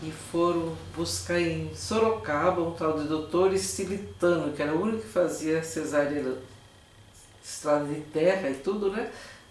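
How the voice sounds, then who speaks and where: A woman at a fairly slow pace in a very deep, low pitch, with very wide pitch swings, audible room echo and noticeable background noise. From Brazil, Tatuí (São Paulo state). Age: old. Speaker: retired teacher. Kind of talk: interview, personal memories.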